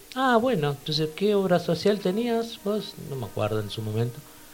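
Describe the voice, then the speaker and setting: A man's voice at moderate speed, noticeable background noise behind it. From Buenos Aires (Temperley, south zone). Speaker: yoga instructor. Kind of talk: casual chat.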